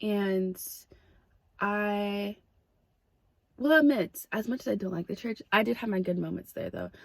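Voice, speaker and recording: A woman talks at a medium pitch with lively intonation. The sound is dry and close, with no echo. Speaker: vlogger. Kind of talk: testimony. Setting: outdoors. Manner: loud.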